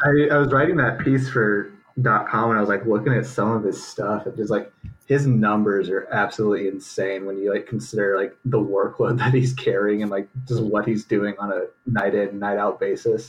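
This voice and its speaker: Here a man has a fairly low pitch and fairly even intonation in an ordinary speaking voice. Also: moderate pace. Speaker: college basketball writer. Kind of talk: casual chat.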